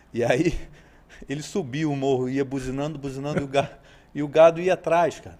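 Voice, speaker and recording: In a Rio de Janeiro accent, a man with a dark, mellow tone talks at a fairly quick pace with fairly even intonation, big swings in loudness, and long, frequent pauses. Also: fairly high pitch for a man. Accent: carioca. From Rio de Janeiro state, Brazil (Araruama, Lakes Region). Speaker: horse trainer. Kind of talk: podcast interview.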